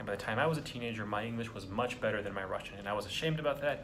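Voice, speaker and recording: A man talks at a very fast pace with a medium pitch and ordinary pitch variation. Noticeable background noise and audible room echo fill the recording. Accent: American. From United States. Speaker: vlogger. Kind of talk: casual monologue. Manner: halting.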